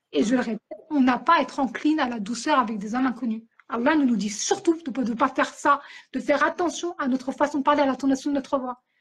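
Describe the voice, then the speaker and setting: A woman speaks loudly in a high, animated voice. Her pace is very fast. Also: ordinary pitch variation. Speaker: author and podcaster. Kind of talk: interview.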